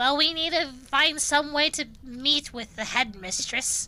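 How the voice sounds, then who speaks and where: A put-on character voice sits at a high pitch. It moves at a fairly slow pace. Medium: actual play. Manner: dry, sardonic.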